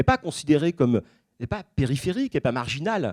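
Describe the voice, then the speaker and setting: The recording is very clean, dry and close, with no echo and a silent background. A man speaks at a fairly quick pace with lively intonation. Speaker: historian giving a public talk. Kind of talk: lecture. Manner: fast; hesitant, many fillers.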